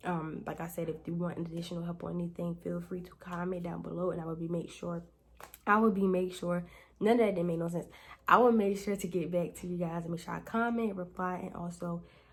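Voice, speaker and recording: Somewhat breathy and fairly low-pitched, a woman talks at a fairly quick pace with fairly even intonation. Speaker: beauty and lifestyle youtuber, boutique owner; lifestyle youtuber. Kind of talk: tutorial. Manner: fast; casual. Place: home room. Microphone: phone near.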